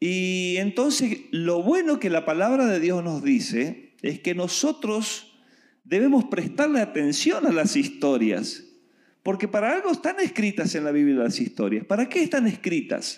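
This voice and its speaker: This man has a high voice that moves in very wide pitch swings. He speaks at a fairly slow pace. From Argentina. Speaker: preacher. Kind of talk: sermon.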